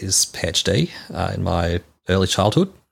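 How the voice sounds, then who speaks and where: Very deep and low, a man's voice carries an Australian accent and ordinary pitch variation. He talks at a fairly slow pace in a very clean recording with a silent background. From Melbourne, Australia. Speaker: church member. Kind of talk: interview.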